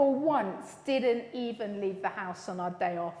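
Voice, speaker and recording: A woman speaks with ordinary pitch variation amid audible room echo. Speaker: lead minister. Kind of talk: welcome announcements to congregation. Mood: warm, cheerful, laughing. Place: church.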